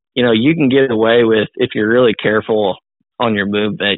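A man with a Missouri accent and a fairly low-pitched voice talks at a fairly quick pace. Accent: Midwestern US (Missouri). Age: 20s. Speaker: deer hunter. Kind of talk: casual interview.

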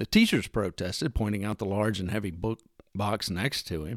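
In a very clean, dry and close recording with a silent background and no echo, a man speaks with a Texan accent. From US Texas. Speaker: podcast host. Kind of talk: solo monologue, personal essay. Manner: folksy, humorous, earnest.

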